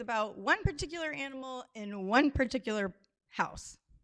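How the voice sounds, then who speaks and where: A woman's high, bright, sharp voice at a moderate pace, with very wide pitch swings. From Alaska (Juneau). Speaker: craft designer and storyteller. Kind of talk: live storytelling. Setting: stage with audience.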